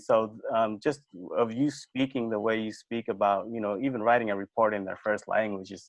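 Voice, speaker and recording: A man with an American accent and a normal speaking voice, medium in pitch, at a moderate pace with fairly even intonation. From refugee, raised in the US from age two. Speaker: university communications manager, interviewer. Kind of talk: interview.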